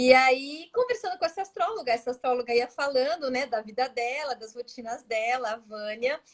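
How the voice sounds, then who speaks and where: A woman with a strong São Paulo accent speaks at a high pitch and a moderate pace, with hardly any pauses, ordinary pitch variation and big swings in loudness. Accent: strong São Paulo (paulistano). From São Paulo, Brazil. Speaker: astrologer. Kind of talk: casual interview chat. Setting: Instagram live video call.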